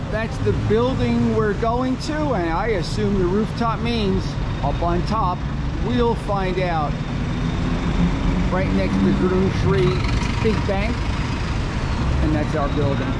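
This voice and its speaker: A man speaks at a very slow pace, leaving long, frequent pauses. The sound is dry with no echo, but the background noise is loud. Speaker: travel vlogger. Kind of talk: casual vlog chat. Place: street. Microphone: phone near.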